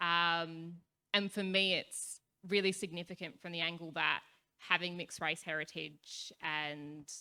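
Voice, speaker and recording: Loud and bright with a sharp tone, a woman with an Australian accent talks at a fairly slow pace in a fairly low pitch and a monotone, flat intonation. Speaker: youth activist panelist. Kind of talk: panel discussion.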